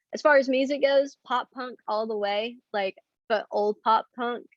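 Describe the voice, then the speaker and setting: This woman talks at a fairly slow pace, her pitch varying in an ordinary way. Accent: Southern US. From Arkansas, Hot Springs. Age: 20s. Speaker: teacher. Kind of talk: classroom lecture. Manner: casual, with many fillers.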